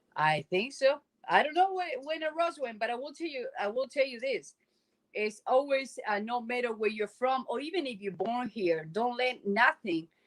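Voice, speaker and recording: An animated tone with very wide pitch swings at a moderate pace. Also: woman, high pitch for a woman. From Argentina. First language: Spanish. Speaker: entrepreneur and stunt woman. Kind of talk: interview.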